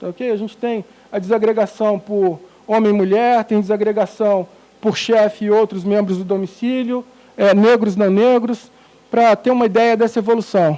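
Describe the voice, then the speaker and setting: High male speech, fairly even in intonation, amid noticeable background noise. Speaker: economic research director presenting survey results. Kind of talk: presentation of statistics. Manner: hesitant with many fillers.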